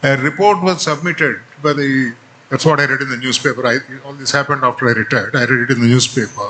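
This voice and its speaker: A man talks at a fairly quick pace with a Telugu accent. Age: 70s. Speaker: retired Supreme Court judge. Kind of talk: speech.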